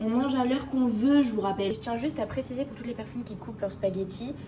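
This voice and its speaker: A woman speaks with ordinary pitch variation. Audible room echo and noticeable background noise surround her voice. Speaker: vlogger. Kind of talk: casual vlog talk to camera. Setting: at home, kitchen.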